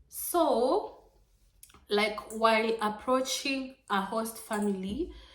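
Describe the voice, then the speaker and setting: Audible room echo surrounds a woman's fairly high voice. Her pitch variation is ordinary. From Kenya. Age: 20s. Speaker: vlogger, former au pair. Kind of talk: informal tutorial vlog, code-switching English and Swahili. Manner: casual, repetitive, filler-heavy.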